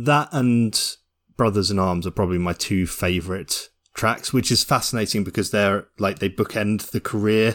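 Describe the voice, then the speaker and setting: In a very clean recording with a silent background, a man with an ordinary speaking voice talks at a moderate pace and a fairly low pitch with ordinary pitch variation. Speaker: podcast host. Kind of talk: casual chat about music.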